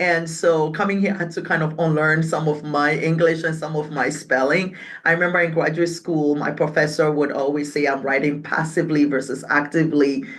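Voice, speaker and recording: A woman with a Ghanaian accent, very deep and low in pitch, in monotone, flat intonation with hardly any pauses and audible room echo. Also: fairly quick pace. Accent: Ghanaian English, British-leaning. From Ghana, raised in Accra (Ga-speaking city). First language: Twi/Ewe/Ga (multilingual Ghanaian). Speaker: community organization leader. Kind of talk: interview conversation.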